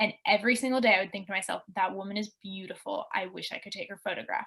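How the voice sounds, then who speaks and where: A woman speaks with a bright, sharp tone. Her intonation stays fairly even. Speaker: university student panelist. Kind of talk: panel discussion.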